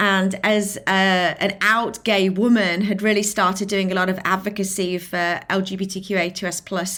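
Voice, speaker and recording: In a British accent, a woman speaks with monotone, flat intonation at a medium pitch on a very clean recording with a silent background. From England, Lincolnshire. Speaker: filmmaker and inclusion advocate. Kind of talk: interview.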